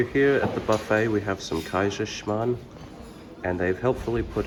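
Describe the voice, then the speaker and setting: With an Australian accent, a man talks fairly slowly at a fairly low pitch. His pitch varies in an ordinary way, and background noise is noticeable. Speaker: vlogger, game development student. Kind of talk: travel vlog narration.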